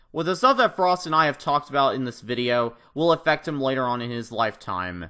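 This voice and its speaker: A loud, fairly high-pitched man with a bright, sharp tone, lively intonation and a fairly quick pace. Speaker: gaming youtuber. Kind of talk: youtube call-out commentary.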